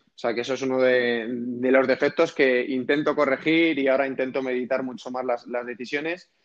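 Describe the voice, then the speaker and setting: The speaker keeps a moderate pace with hardly any pauses, using monotone, flat intonation alongside big swings in loudness. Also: man, medium pitch for a man. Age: 30s. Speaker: entrepreneur and investor. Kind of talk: interview.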